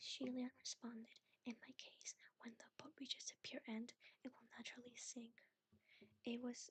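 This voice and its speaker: Soft-spoken and at a moderate pace, a woman talks in a high pitch with a monotone, flat intonation, recorded with a dry, close sound and no echo. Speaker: ASMR VTuber reader. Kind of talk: calm narration reading a novel aloud. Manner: soft-spoken, sleepy.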